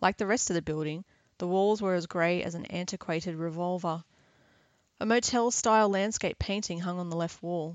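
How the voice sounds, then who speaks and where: A woman's fairly low voice in an Australian accent, at a moderate pace with fairly even intonation. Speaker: author reading her novel. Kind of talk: literary audiobook reading.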